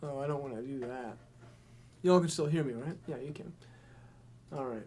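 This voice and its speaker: A man at fairly high pitch with a dark, mellow tone and ordinary pitch variation, speaking at a fairly quick pace amid audible room echo. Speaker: musician livestreamer. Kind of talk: casual livestream Q&A. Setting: live stream. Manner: hesitant, many fillers.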